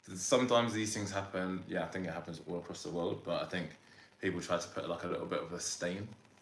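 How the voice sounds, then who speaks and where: A man with a very deep, low pitch speaks very fast, his intonation fairly even. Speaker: podcast host. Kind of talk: podcast interview questions.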